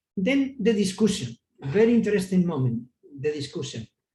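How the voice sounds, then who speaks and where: With a Spanish accent, a man talks at a moderate pace in a dark, mellow tone, his pitch swinging very widely. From Spain. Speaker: palliative care physician. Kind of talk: lecture. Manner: halting.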